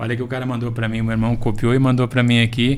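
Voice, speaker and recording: Over noticeable background noise and audible room echo, a man of medium pitch talks at a very fast pace. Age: 60s. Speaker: agronomy professor. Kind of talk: interview. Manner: halting.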